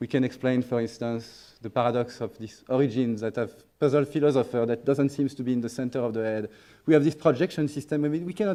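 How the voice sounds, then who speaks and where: A man speaks very fast in a strong French accent. His pitch is medium, with ordinary variation. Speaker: neuroscience researcher. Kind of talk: conference talk. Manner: hesitant with fillers and restarts.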